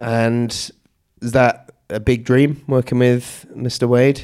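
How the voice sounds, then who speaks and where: His voice is medium in pitch. The man's intonation stays monotone and flat. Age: 30s. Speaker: podcast host. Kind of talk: casual chat.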